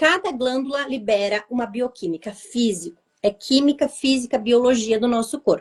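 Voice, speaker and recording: With a high pitch and normal variation in it, a woman is talking. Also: moderate pace. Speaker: vibrational therapist. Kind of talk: live interview, explaining. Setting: online live stream.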